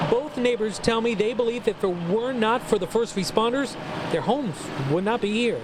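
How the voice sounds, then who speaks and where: A man speaks at a fairly quick clip in an energetic tone, his pitch extremely high for a man, with noticeable background noise behind him. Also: ordinary pitch variation, very even loudness. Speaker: television news reporter. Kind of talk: TV news package voice-over. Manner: energetic, engaging.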